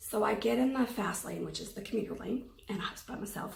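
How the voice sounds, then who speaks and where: A shaky woman's voice with audible room echo and noticeable background noise. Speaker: anxiety vlogger. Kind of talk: personal testimony. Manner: hesitant, many fillers.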